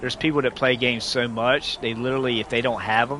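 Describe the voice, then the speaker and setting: A voice in a Southern US accent over noticeable background noise. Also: man. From US South. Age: 40s. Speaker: gaming streamer, military veteran. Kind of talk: casual live-stream chat. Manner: halting, many false starts.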